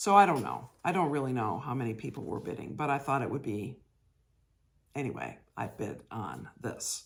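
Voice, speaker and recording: The voice carries vocal fry. Its intonation is lively. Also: woman, very deep, low pitch for a woman, moderate pace, very clean recording, silent background. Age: 60s. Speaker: cross stitch vlogger. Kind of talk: casual chat.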